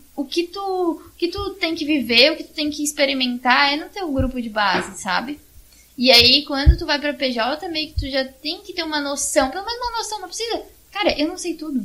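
Projecting a raised voice at a high pitch, a woman speaks at a moderate pace with lively intonation and big swings in loudness. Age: 20s. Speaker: church youth group coordinator. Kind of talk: casual chat.

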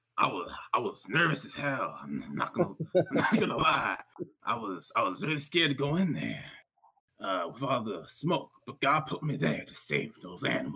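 A man in a put-on character voice, raspy and fairly high-pitched, at a fairly slow pace

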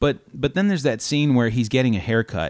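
Heard on a very clean recording with a silent background, a man has a plain, everyday voice. His pitch is medium, with lively intonation. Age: 30s. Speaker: movie podcast co-host. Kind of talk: casual chat.

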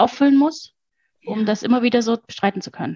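A woman talks at a fairly quick pace in an unremarkable speaking voice. Her pitch is fairly high. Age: 40s. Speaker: mother, former mentoring client. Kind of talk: interview testimony.

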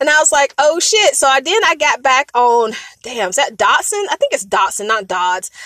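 Speaking slowly-ish in a raised, projected voice, a woman with an American accent uses a high pitch, very wide pitch swings and an animated tone, with a dry, close sound and no echo. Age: 40s. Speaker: podcast host. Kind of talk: casual storytelling monologue.

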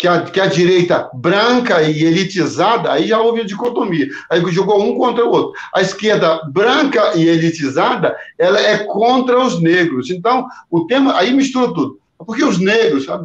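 A man with a high voice speaks at a moderate pace, his intonation lively and his loudness very even. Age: 60s. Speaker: pastor. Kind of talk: panel discussion. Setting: live stream. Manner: halting, repeats words.

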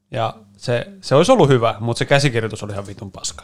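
An ordinary speaking voice with lively intonation moves along at a fairly quick pace. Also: man. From Helsinki, Finland (East Helsinki). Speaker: podcast co-host. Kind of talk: casual chat.

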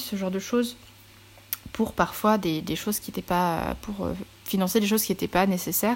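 Fairly even intonation from a woman at a moderate speed. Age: 30s. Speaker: podcaster and virtual assistant. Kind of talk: solo podcast monologue. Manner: halting, many fillers.

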